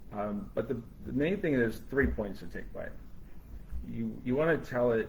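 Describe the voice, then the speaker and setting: There is audible room echo as a man talks at a moderate pace. He leaves long, frequent pauses. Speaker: brain injury survivor and AI advocate. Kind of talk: live panel discussion. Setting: live stream. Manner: halting, with frequent repetitions.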